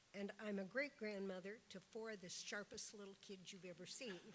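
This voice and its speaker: With noticeable background noise behind her, a woman speaks at a medium pitch with fairly even intonation. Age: 70s. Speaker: panelist. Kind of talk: testimony. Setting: town hall with audience.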